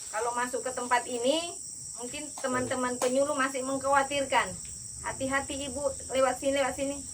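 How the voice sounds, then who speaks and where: Loud and high-pitched, a woman speaks in a monotone with flat intonation. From Central Java (Solo). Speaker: agricultural official. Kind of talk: official speech.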